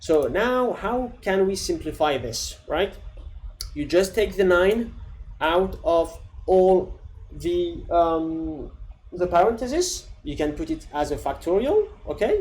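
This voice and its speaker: A man with a non-native accent, at a very slow pace. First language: not English. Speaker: coding tutorial creator. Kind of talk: tutorial. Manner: casual, with fillers and restarts.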